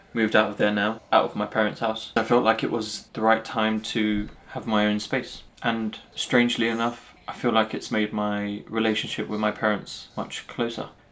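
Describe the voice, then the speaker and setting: A man with a London accent speaks in a fairly low, flat, monotone voice with hardly any pauses. The recording is very clean with a silent background. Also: moderate pace. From London, Northwest London. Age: 30s. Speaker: vlogger and commercial lawyer. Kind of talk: personal vlog monologue.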